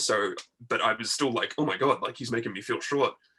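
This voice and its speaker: An Australian accent shapes this speech. The speaker is a man. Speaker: wrestling figure collector. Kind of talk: casual chat.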